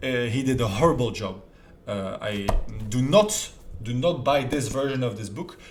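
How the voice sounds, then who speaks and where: Speaking in a French accent, a man sounds somewhat breathy with lively intonation. Room echo is audible. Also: medium pitch for a man, moderate pace. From France. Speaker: self-improvement youtuber. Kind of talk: casual talk to camera.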